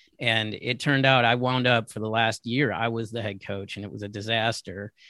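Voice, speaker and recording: A man with an American accent talks at a moderate pace and medium pitch. His intonation is fairly even, and it is a normal speaking voice. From US East Coast. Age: 50s. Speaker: wrestling photographer. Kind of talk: interview.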